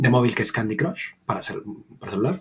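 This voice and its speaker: A man with a Latin American accent, at medium pitch. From Mexico. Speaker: content designer. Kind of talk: casual chat.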